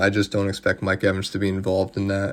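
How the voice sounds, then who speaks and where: A quiet man's voice, fairly low in pitch. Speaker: sports podcaster. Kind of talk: solo sports analysis podcast. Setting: at home. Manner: calmer than usual; quieter to avoid disturbing family.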